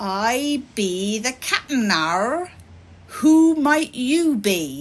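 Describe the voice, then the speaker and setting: In a put-on character voice, a female-sounding speaker goes very slowly, high in pitch with very wide pitch swings. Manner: gruff drawl.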